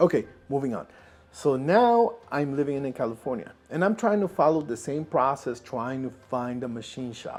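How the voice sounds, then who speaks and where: Over background music, a man with a non-native accent talks at a moderate pace, his fairly high pitch carried by lively intonation. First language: not English. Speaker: inventor and video creator. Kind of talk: personal vlog narration.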